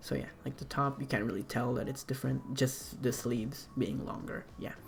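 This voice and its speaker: Over noticeable background noise, a man with a non-native accent talks at a moderate pace. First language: not English. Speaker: artist explaining own animation project. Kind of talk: casual commentary walkthrough. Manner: halting, many fillers.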